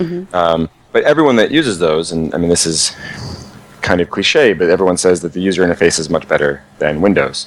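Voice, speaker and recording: Noticeable background noise behind a man with a very deep, low pitch, going at a fairly quick pace. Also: ordinary pitch variation. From New Jersey. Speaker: video game producer. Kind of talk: casual interview. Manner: hesitant, many fillers.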